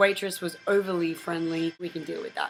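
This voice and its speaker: A woman with an Australian accent and a medium pitch is heard against noticeable background noise. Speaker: vlogger. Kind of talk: casual vlog monologue. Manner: animated.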